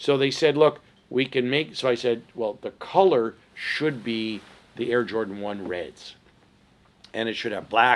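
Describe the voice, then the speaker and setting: Speaking at a fairly slow pace, a man has an unremarkable speaking voice with medium pitch and ordinary pitch variation. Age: 60s. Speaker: entrepreneur. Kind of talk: interview.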